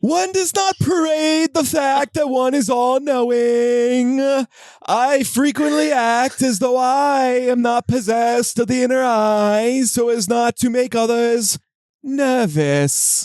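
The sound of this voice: Against a quiet background, a man puts on a character voice with an extremely high pitch, speaking at a fairly slow pace.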